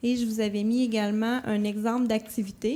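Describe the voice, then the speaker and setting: Fairly high in pitch, a woman speaks with a dark, mellow tone. She keeps a moderate pace and fairly even intonation. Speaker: conference presenter. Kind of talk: conference presentation. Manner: hesitant, many fillers.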